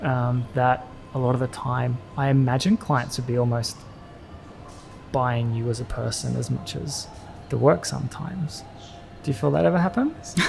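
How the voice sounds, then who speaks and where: The speech moves at a moderate pace with ordinary pitch variation and long, frequent pauses, with music in the background. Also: man, medium pitch for a man. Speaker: podcast host. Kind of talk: casual interview hosting.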